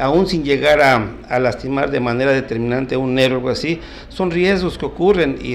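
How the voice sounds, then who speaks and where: A man's fairly quick speech shows ordinary pitch variation, with light background noise underneath. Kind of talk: interview answer. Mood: calm, explanatory. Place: office. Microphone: handheld.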